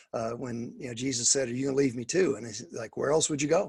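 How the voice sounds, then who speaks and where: The man's voice sits at a medium pitch, somewhat breathy, with fairly even intonation. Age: 60s. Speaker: pastor and missions trainer. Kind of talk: coaching talk on a video call. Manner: halting, many fillers and restarts.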